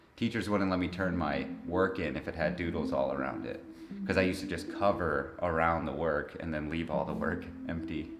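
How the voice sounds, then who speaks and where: Speaking at a fairly quick pace, a man with an American accent has a very deep, low pitch and ordinary pitch variation. Audible room echo and noticeable background noise are present. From Detroit, Michigan, US. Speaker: visual artist. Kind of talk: interview. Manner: casual, hesitant with many fillers.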